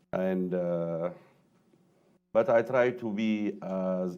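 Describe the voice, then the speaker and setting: A man speaks with an Ethiopian accent in a very deep, low voice. His tone is dark and mellow, and his intonation stays fairly even. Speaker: professor. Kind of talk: panel discussion.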